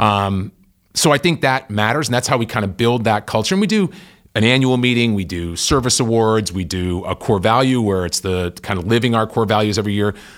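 A man's plain, everyday voice, medium in pitch, with an American accent, a fairly quick pace and ordinary pitch variation, on a very clean recording with a silent background. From Massachusetts (Worcester). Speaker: company CEO. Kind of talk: interview.

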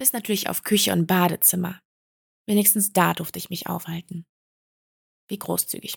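A woman speaks at a medium pitch and a moderate pace, with vocal fry, fairly even intonation, big swings in loudness, and long, frequent pauses. The recording is very clean with a silent background and a dry, close sound with no echo. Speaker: podcast host. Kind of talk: personal testimony monologue.

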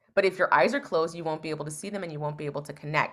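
Her voice is very deep and low, with vocal fry and an American accent. This woman keeps her intonation fairly even. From Northern California. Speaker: psychotherapist and relationship expert. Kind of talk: interview conversation.

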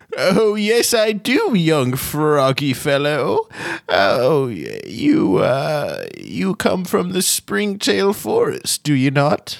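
Someone does a put-on character voice at a middle pitch and a very slow pace. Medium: actual play. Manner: cryptic, doddering, fond of saying oh.

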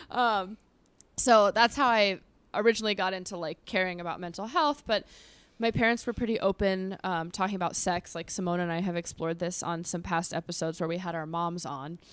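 At a fairly quick pace, a normal speaking voice with ordinary pitch variation comes through on a very clean recording with a silent background. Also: woman, medium pitch for a woman. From Los Angeles, US West Coast. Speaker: sex therapist. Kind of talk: casual chat. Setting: in studio with hosts.

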